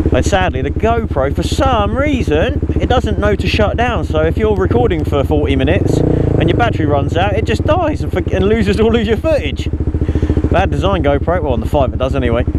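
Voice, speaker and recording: A man's very deep, low voice at a fairly quick pace, with lively intonation and very even loudness, plus audible room echo and noticeable background noise. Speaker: motovlogger. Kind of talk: casual vlog commentary while riding. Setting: riding a motorcycle on the road.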